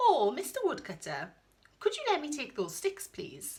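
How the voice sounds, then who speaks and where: Using a put-on character voice, a woman talks at a high pitch and a moderate pace. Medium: read story.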